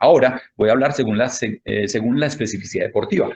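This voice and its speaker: Speaking at a very fast pace, a man uses lively intonation. His pitch sits in the medium range. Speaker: handball fitness coach and lecturer. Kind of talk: lecture. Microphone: connectivity problems.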